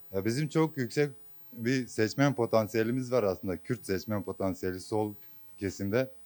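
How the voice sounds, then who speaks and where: A man's medium-pitched voice moves at a moderate speed. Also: ordinary pitch variation. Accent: Kurdish. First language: Kurdish (speaking Turkish). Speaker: voter interviewed on the street. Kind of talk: street interview. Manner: hesitant, many fillers.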